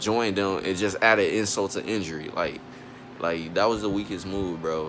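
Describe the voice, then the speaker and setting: Audible room echo and noticeable background noise surround this recording. A man speaks at a moderate pace and fairly low pitch. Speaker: YouTuber sports commentator. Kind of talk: solo opinion rant to camera. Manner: animated.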